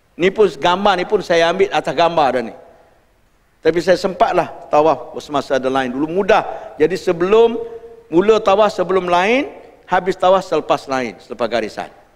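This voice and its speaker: Over a quiet background, a man with a high-pitched voice talks at a moderate pace with lively intonation. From Malaysia. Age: 60s. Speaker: religious teacher. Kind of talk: lecture. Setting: mosque. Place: hall.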